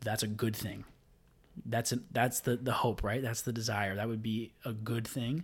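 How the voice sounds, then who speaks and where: The recording is very clean, with a silent background. A man speaks at a moderate pace and medium pitch, somewhat breathy, with fairly even intonation. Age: 20s. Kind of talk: casual chat.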